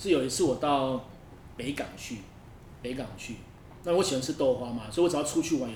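A man with a fairly high voice speaks with lively intonation, and audible room echo surrounds him. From northern Taiwan. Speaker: podcast host. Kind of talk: casual interview chat.

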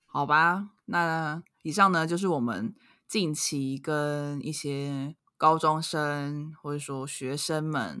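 In a very clean recording with a silent background, a woman with a Taiwanese accent speaks very slowly in a very deep, low voice with ordinary pitch variation. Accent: Taiwanese Mandarin. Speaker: podcast co-host. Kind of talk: casual chat.

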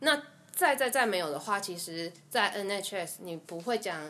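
A woman's plain, everyday voice of medium pitch, with lively intonation at a fairly slow pace. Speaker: dental assistant. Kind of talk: casual interview chat.

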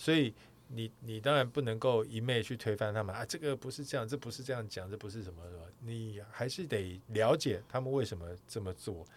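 In a plain, everyday voice, a man talks at a fairly quick pace with ordinary pitch variation, on a very clean recording with a silent background. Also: medium pitch for a man, big swings in loudness. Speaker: podcast host, sports broadcaster. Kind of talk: casual chat.

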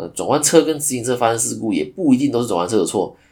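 Talking at a very fast pace, a man with a medium pitch shows vocal fry. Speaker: podcast host, insurance agent. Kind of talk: solo podcast monologue. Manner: casual, filler-heavy. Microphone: new microphone.

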